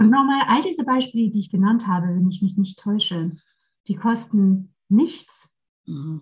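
A somewhat breathy woman's voice of medium pitch, fairly slow in pace, with lively intonation. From France, Versailles near Paris. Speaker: leadership coach and trainer. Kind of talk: casual interview chat.

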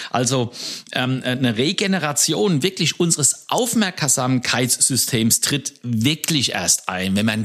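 A man speaks very slowly at a medium pitch with lively intonation. His loudness stays very even. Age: 60s. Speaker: podcast co-host, leadership coach. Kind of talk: casual podcast conversation.

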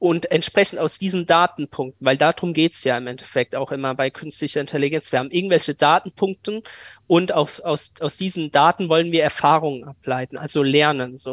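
A normal speaking voice from a man, fairly high in pitch and fairly quick, with ordinary pitch variation, in a very clean recording with a silent background. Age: 20s. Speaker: AI startup founder. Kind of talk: interview.

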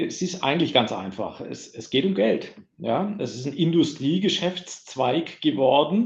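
The voice carries vocal fry and a lively intonation. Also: man. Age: 50s. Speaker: IT security sales manager. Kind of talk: casual interview. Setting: large meeting room.

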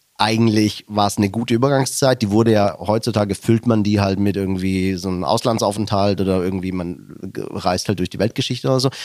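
Fairly quick delivery from a man in a normal speaking voice, pitched fairly low. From Germany, Stuttgart area (fled from Slovakia at six). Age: 40s. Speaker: podcast co-host, businessman. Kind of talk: casual chat.

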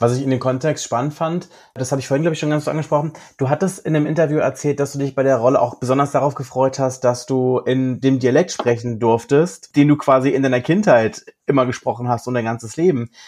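Talking at a very fast pace, a man with medium pitch keeps his intonation fairly even. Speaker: podcast co-host. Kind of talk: casual chat.

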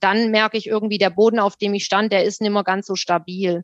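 Speaking in a Swabian accent, a woman talks at a fairly quick pace with monotone, flat intonation. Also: dry, close sound with no echo. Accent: Swabian, audible. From Württemberg, Rems-Murr district near Stuttgart. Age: 30s. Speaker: theologian working in education equity. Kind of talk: casual conversation.

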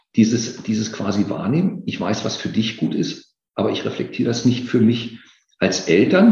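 A man speaks at a moderate pace with medium pitch, a dark, mellow tone, and vocal fry. His pitch swings very widely, and the room echo is audible. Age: 50s. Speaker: occupational safety expert. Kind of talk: interview.

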